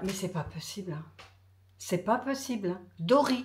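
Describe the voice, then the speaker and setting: An animated voice moves at a fairly slow pace, with audible room echo. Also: woman. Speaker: lifestyle vlogger. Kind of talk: casual vlog talk.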